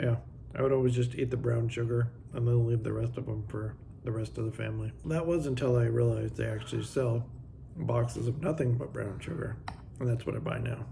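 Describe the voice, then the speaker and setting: A man talks at a fairly quick pace. There's noticeable background noise and audible room echo. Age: 40s. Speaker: motorcycle travel vlogger. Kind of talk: casual vlog talk.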